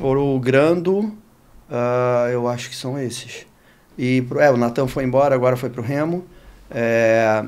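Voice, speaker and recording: Here a man speaks at a moderate pace. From Rio de Janeiro, Brazil. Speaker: sports marketing executive. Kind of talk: podcast interview. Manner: casual, with some hesitations.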